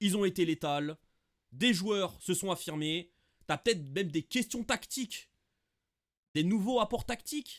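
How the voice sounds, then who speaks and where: Speaking at a moderate pace, a man with a high pitch uses lively intonation in a very clean recording with a silent background. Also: dry, close sound with no echo. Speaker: football YouTuber, Barça fan. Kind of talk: casual match debrief. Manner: hesitant, many fillers.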